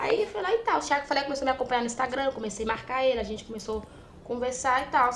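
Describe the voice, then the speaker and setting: At a very fast pace, a woman talks in a high voice with ordinary pitch variation. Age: young (18). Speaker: trader. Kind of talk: casual chat.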